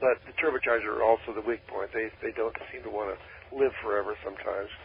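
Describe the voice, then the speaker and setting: With an American accent and fairly even intonation, the speaker rushes along at a very fast pace amid noticeable background noise. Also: man, medium pitch for a man. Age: 80s+. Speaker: dune buggy designer and WWII veteran. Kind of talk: radio interview. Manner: halting.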